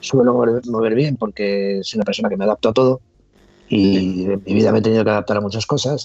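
An unremarkable speaking voice moves at a fairly quick pace with fairly even intonation. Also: man. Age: 50s. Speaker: former reality show contestant. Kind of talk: casual interview. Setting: call.

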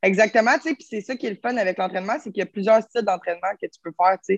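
A woman with a Quebec accent speaks at a very fast pace in a medium pitch with ordinary pitch variation. Her loudness swings a lot, and the sound is dry and close with no echo. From Quebec, Terrebonne. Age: 20s. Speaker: fitness coach. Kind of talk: casual chat.

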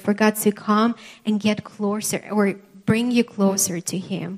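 A very slow, somewhat breathy delivery in a monotone, flat intonation. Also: woman. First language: not English. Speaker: preacher. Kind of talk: sermon. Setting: church with live congregation. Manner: halting, with frequent fillers.

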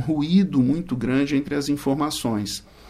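The speaker keeps a moderate pace. It is an ordinary speaking voice. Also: man. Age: 40s. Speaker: prosecutor and law professor. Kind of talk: interview. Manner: formal.

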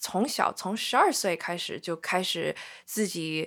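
In a very clean recording with a silent background, the speech unfolds very slowly. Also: woman. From US small town. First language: English (speaking Chinese). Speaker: band lead singer. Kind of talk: casual interview conversation. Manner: halting, with many repetitions and fillers; frequent code-switching into English.

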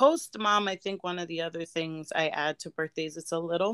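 A plain, everyday voice from a woman, fairly low in pitch, at a moderate pace with fairly even intonation, dry and close with no echo on a very clean recording with a silent background. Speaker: podcast host. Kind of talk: casual chat.

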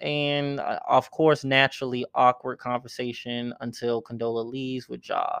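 Against a quiet background, a man with an unremarkable speaking voice talks at a medium pitch with fairly even intonation. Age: 20s. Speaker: podcast host recapping a TV series. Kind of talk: casual solo recap. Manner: casual, filler-heavy.

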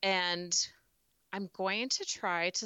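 Here a woman speaks with an American accent. Her pitch is fairly low. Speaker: podcast co-host, mom. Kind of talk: casual chat.

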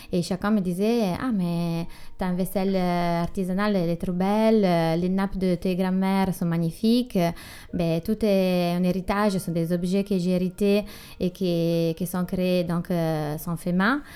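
With an Italian accent, a woman speaks at a fairly slow pace and medium pitch in a dark, mellow tone, keeping fairly even intonation and very even loudness. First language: Italian (speaking French). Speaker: artisan brand founder, former finance worker. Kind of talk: interview. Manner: halting.

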